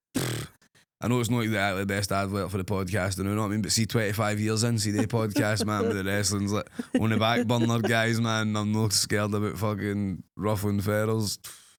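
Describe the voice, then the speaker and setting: A man with a Scottish accent talks at a fairly quick pace, his loudness very even throughout. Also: fairly low pitch for a man. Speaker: wrestler and podcast co-host. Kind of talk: casual chat. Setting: studio. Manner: fast; animated.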